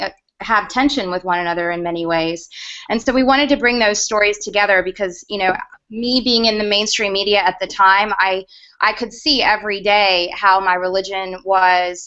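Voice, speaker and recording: A woman with a Southern US accent speaks at a moderate pace in a medium pitch with ordinary pitch variation. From US South, Georgia. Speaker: media consultant and former news producer. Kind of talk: panel interview in online video hangout.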